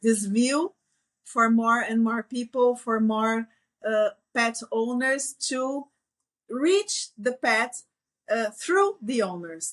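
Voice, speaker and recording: Speech with a Portuguese accent comes at a very slow pace with long, frequent pauses and ordinary pitch variation, recorded dry and close with no echo over a quiet background. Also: woman, fairly high pitch for a woman. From Brazil. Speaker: veterinarian. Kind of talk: interview conversation. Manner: halting, hesitant.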